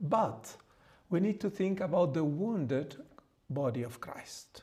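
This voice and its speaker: A man with a Mexican accent, a dark, mellow tone, somewhat breathy, lively intonation, a very slow pace and audible room echo. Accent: non-native English (Mexican Spanish). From Mexico. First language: Spanish. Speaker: priest and theologian. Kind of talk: lecture. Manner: halting, many fillers.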